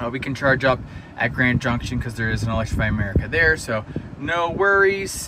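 A man speaks with noticeable background noise. The sound is dry, with no echo. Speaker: EV vlogger. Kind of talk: casual vlog chat. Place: car. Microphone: phone near.

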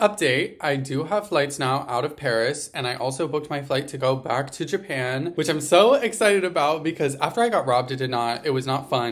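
A man talks at a moderate pace with a fairly high pitch and ordinary pitch variation. He has an American accent. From Virginia, USA. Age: 20s. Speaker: vlogger. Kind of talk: casual vlog talk to camera. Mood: low, down, venting. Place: home room. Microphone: phone near.

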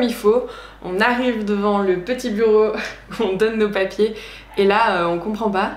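With fairly even intonation and a moderate pace, a woman speaks amid audible room echo. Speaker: travel vlogger. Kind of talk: casual vlog storytelling. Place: home room.

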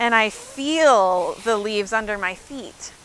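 In a dry sound with no echo, a woman uses a raised, projected voice with very wide pitch swings. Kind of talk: children's sermon. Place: open country. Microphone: lapel.

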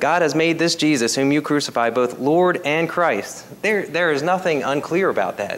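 There is light background noise as a man talks. His pace is moderate and his pitch variation ordinary. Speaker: preacher. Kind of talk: sermon. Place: church.

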